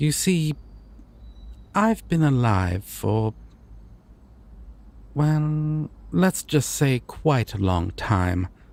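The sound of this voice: Using a put-on character voice, a man speaks at a medium pitch with big pitch swings, vocal fry and a slightly mellow tone, going at a very slow pace with long, frequent pauses.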